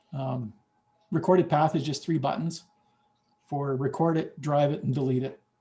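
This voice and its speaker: With a fairly high pitch yet a dark, mellow tone, a man speaks somewhat breathily at a moderate pace, using ordinary pitch variation and long, frequent pauses. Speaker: software developer. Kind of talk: software demo in online meeting. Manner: casual, halting.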